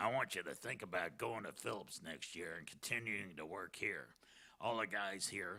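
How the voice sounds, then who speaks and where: This is a put-on character voice, gravelly and raspy. It moves at a moderate pace. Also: man. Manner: encouraging, earnest.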